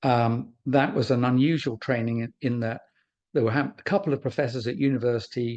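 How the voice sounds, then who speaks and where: Against a quiet background, a man talks at a fairly quick pace in a medium pitch. His intonation stays fairly even. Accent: English. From England. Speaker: former pharmaceutical research scientist. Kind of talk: webinar presentation. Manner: hesitant, with fillers and repeats.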